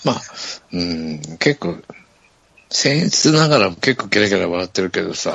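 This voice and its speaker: A man talks in a relaxed tone at a fairly slow pace, leaving long, frequent pauses. His fairly low voice makes very wide pitch swings. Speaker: podcast host. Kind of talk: casual chat. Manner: laughs often, relaxed.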